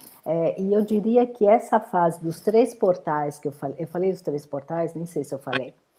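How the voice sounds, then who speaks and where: Dark, mellow tone, lively intonation and a moderate pace with hardly any pauses. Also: woman, fairly low pitch for a woman. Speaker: menopause therapist. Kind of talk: interview.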